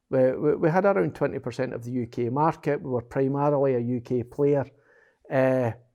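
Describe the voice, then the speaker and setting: A man with an American accent speaks at medium pitch and a fairly quick pace, with ordinary pitch variation and a dark, mellow tone. The recording is very clean, with a silent background. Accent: Scottish, slightly affected by years in US. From Scotland. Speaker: business executive. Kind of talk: interview. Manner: animated.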